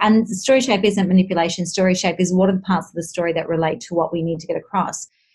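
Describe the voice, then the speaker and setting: Talking at a very fast pace with hardly any pauses, a woman with an Australian accent keeps a medium pitch, fairly even intonation and a somewhat breathy sound. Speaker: communication consultant. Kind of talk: interview conversation. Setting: video call.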